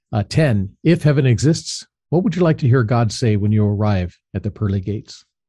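A man with an American accent and a fairly low pitch talks at a fairly quick pace in a dark, mellow, somewhat breathy tone with lively intonation, on a very clean recording with a silent background. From Los Angeles, San Fernando Valley. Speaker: podcast host, business coach. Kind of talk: podcast interview.

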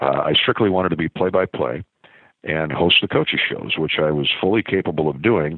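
A man with an American accent speaks at a fairly quick pace. His pitch is very deep and low, with ordinary variation. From US Midwest (small-town Iowa). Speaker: sports play-by-play broadcaster. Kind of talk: casual interview.

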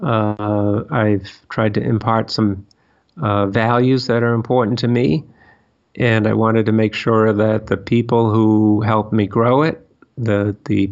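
Speaking at a fairly slow pace with an American accent, a man has an unremarkable speaking voice, fairly low in pitch, with fairly even intonation and very even loudness. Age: 60s. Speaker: machining company owner. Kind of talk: interview.

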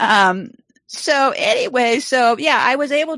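A woman's pitch swings very widely against a quiet background. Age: 70s. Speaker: online show host. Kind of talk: live stream chat. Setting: home live video stream. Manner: casual, chatty.

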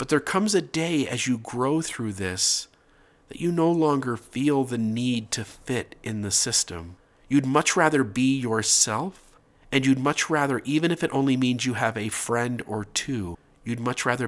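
On a very clean recording with a silent background, a man with a plain, everyday voice and a medium pitch speaks at a fairly slow pace in lively intonation. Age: 30s. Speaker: podcast host. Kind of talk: religious podcast monologue.

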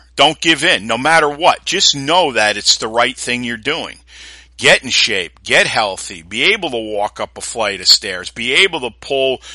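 With an American accent, a man speaks at medium pitch and a moderate pace in a bright, sharp tone with lively intonation, the sound dry and close with no echo. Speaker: fitness podcast host and strength trainer. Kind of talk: solo motivational pep talk with sales pitch for own products. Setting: solo podcast recording. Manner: emphatic, exhorting, repeating for force; earnest, gruff, confident.

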